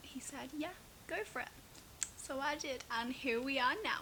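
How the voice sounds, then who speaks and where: A woman speaks at a moderate pace amid audible room echo and noticeable background noise. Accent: English. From Manchester, northern England. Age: 20s. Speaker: YouTuber. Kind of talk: casual chat. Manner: chatty.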